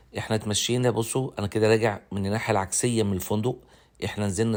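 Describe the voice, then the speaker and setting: A man with an Egyptian accent and fairly even intonation, in a very clean recording with a silent background. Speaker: travel vlogger. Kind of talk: travel vlog narration. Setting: outdoors. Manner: halting.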